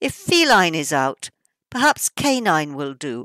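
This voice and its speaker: Over a quiet background, a woman speaks at a very slow pace with very wide pitch swings. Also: dry sound with no echo. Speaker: poet, author reading her own work. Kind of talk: poetry reading. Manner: witty, satirical. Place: home room. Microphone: webcam.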